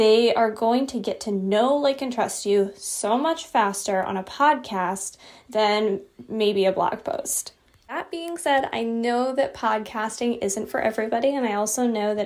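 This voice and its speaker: A woman with a plain, everyday voice speaks at a moderate pace and a fairly high pitch, with ordinary pitch variation. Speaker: podcast host and brand designer. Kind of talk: solo podcast episode, advice monologue. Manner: casual, with fillers.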